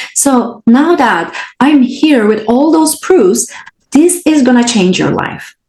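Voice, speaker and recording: The delivery is very slow, with lively intonation. The speaker has a non-native accent. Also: woman, high pitch for a woman. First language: not English. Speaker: podcast host and spiritual coach. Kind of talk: solo podcast talk.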